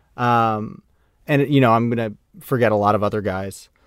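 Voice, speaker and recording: A man with an American accent and an unremarkable speaking voice talks at a moderate pace in a medium pitch. The sound is dry and close with no echo, in a very clean recording with a silent background. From Maine, US. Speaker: former pro baseball player, digital media worker. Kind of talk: casual chat.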